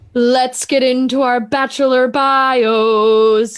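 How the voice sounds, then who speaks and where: A female-sounding, put-on character voice sits high in pitch. It moves at a very slow pace with monotone, flat intonation. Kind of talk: ceremonial. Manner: solemn, church-like.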